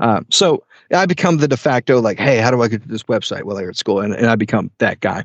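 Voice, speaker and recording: Medium in pitch, the man's voice moves at a very fast pace. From rural western Tennessee. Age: 20s. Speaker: IT manager. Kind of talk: casual interview.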